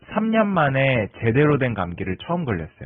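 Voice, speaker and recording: A man at medium pitch with very wide pitch swings, a fairly quick pace and noticeable background noise. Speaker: YouTuber. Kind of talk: casual monologue. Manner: conversational.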